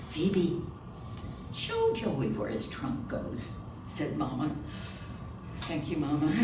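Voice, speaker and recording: Over noticeable background noise, a woman talks at a very slow pace with long, frequent pauses. Her very deep, low pitch carries lively intonation. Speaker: actress and voice-over artist. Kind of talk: audiobook reading of a novel.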